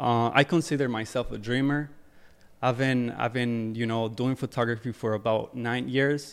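A man with an ordinary speaking voice at a medium pitch, a moderate pace, and fairly even intonation, on a very clean recording with a silent background. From Ecuador, moved to New Jersey at 14. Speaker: fashion photographer and music video director. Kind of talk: casual interview. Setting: studio.

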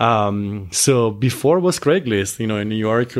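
Ordinary pitch variation and a moderate pace, in an Italian accent. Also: man. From Italy. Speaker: adult film performer. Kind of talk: casual interview.

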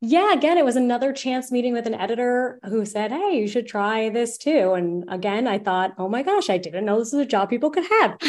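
With an unremarkable speaking voice, a woman talks fairly quickly at a fairly high pitch, using lively intonation and hardly any pauses. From United States. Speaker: travel journalist. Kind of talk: interview.

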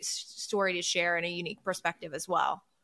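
In a very clean recording with a silent background, someone with an American accent speaks at a very fast pace. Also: woman. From US Midwest. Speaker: former TV sports journalist, podcast co-host. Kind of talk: casual chat. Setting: studio.

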